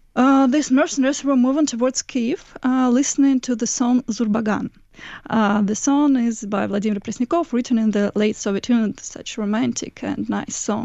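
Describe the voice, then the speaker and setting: A woman's high-pitched voice with a Russian accent, ordinary pitch variation, and a moderate pace. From Moscow, Russia. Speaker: investigative journalist. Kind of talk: interview.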